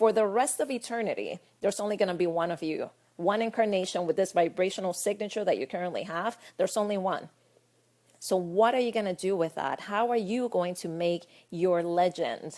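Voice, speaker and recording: An animated woman with a Spanish accent at a fairly quick pace. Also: medium pitch for a woman, ordinary pitch variation. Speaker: spiritual life coach. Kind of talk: casual vlog talk.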